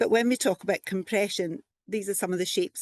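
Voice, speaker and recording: A woman with a Scottish accent is heard over a quiet background, the sound dry and close with no echo. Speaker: physiotherapist and lymphoedema specialist. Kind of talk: conference presentation.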